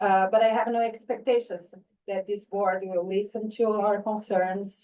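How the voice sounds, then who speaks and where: Moving at a fairly slow pace, this voice carries a dark, mellow tone and monotone, flat intonation. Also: woman, medium pitch for a woman. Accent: non-native. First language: not English. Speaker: parent speaking at public comment. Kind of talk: public comment at board meeting. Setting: school board meeting.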